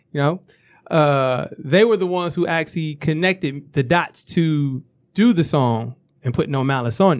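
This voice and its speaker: Speaking at a moderate pace, the man has a fairly high pitch and ordinary pitch variation. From Detroit, east side. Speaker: rapper. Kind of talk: casual chat.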